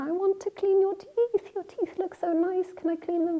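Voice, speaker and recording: An extremely high-pitched put-on character voice from a woman, delivered at a moderate pace. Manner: playful.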